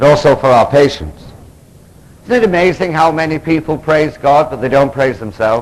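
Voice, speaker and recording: Speaking with an English accent, a man with a fairly high voice talks at a fairly quick pace with ordinary pitch variation. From England. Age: 40s. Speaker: Episcopal priest and recovery speaker. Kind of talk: conference lecture. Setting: stage with audience. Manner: animated. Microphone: analog recording, poor quality.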